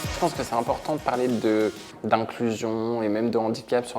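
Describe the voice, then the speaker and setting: This man keeps a medium pitch and a fairly quick pace while music plays in the background. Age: 20s. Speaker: content creator. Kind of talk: testimony. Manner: casual; hesitant with repetitions.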